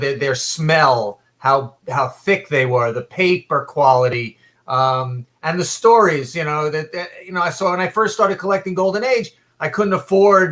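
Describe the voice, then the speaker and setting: Lively intonation at a moderate pace in a bright, sharp tone. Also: man. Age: 60s. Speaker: comic book collector. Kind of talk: casual chat. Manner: halting, many fillers.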